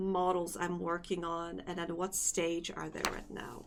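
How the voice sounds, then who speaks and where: A woman with a non-native accent speaks at a fairly slow pace and a medium pitch. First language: not English. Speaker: vtuber and Live2D rigger streamer. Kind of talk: casual live stream chat. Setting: live stream. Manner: hesitant, searching for words.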